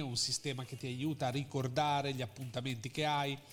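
A man's voice at a moderate pace. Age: 40s. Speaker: marketing consultant. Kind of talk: interview. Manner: halting.

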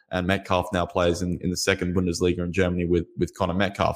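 This man has an Australian accent and a very deep, low voice. He talks at a fairly quick pace. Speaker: football journalist and editor. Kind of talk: interview.

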